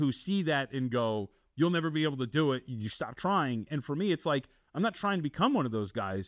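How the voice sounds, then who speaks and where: This man has an ordinary speaking voice, fairly high in pitch. He talks at a fairly quick pace with lively intonation. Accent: American. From Las Vegas, Nevada. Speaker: sports betting analyst. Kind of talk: casual interview.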